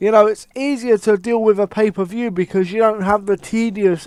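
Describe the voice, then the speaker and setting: Over a quiet background, a man with a British accent talks at a moderate pace in a dry, close sound with no echo. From UK. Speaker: wrestling commentator YouTuber. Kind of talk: casual rant. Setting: home recording with headset. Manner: animated.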